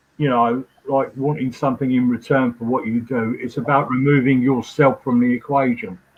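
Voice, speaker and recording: With an unremarkable speaking voice, a man talks at medium pitch and a moderate pace, fairly even in intonation and with hardly any pauses. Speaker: trance medium. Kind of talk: interview.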